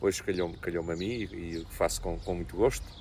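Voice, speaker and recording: A man speaks in a very deep, low voice. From Portugal, Ribatejo (Azambuja area). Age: 60s. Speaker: local politician. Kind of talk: interview. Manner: halting, with many repetitions.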